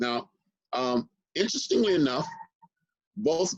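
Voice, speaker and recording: His intonation is lively. The man talks at a moderate pace. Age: 60s. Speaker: historian. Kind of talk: interview conversation.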